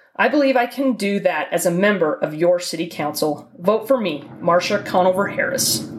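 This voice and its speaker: A woman with an American accent talks at a moderate pace with lively intonation and hardly any pauses, amid noticeable background noise. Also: medium pitch for a woman. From Utah. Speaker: city council candidate. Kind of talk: campaign statement.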